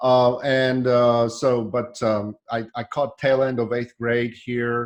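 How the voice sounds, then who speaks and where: Delivery is very slow, with monotone, flat intonation. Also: man, medium pitch for a man. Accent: Polish. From Poland. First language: Polish. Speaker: software developer. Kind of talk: casual chat. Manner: halting.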